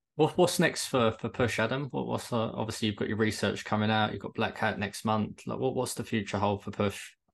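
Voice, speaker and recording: Against a quiet background, a man with a southern English accent talks at a fairly quick pace, his fairly low pitch showing vocal fry and ordinary pitch variation. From Kent, England. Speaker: podcast host. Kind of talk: casual interview.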